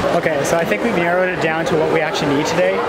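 Loud background noise fills the clip. A man's voice comes through over it. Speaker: vlogger. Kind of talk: casual vlog chat. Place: shop. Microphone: phone near.

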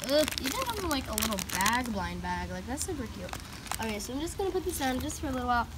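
A woman talks very fast while loud background noise fills the recording. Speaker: toy reviewer. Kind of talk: casual vlog chat. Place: street. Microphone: phone near.

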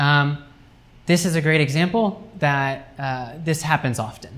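A man with an American accent speaks at a fairly slow pace. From US Midwest, Cincinnati, Ohio; Ohio. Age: 20s. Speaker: academic writing lecturer. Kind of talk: lecture. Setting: university classroom seminar with students. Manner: casual, with many fillers. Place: classroom. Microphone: camera far.

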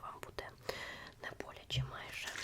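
A woman is whispering in a gentle tone over noticeable background noise. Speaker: ASMR creator. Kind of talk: ASMR role-play, close personal-attention talk as a tattoo artist. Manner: soft, gentle, whispery, slow.

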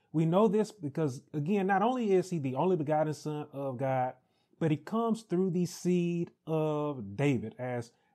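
Against a quiet background, a man talks at a moderate pace with a dark, mellow tone. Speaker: pastor. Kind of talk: Bible study teaching. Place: home room. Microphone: lapel.

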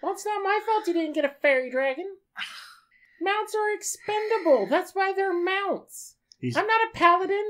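A put-on character voice at an extremely high pitch comes at a moderate pace. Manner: flippant, cheeky, unbothered; rambling, chatty.

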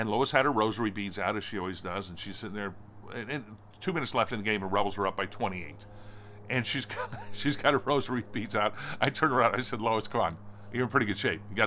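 A fast-talking man at a very fast pace, fairly low in pitch with ordinary variation, bright and sharp in tone, over light background noise. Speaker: sports reporter recalling a game. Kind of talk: casual vlog chat. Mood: warm, nostalgic storytelling. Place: garden. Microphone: phone near.

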